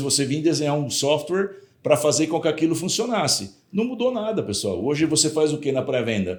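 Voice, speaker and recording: A man speaks with a São Paulo interior accent. His intonation is lively. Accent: rural São Paulo interior accent, drawling. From interior of São Paulo state, Brazil (Jundiaí). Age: 60s. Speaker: sales executive. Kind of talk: podcast interview.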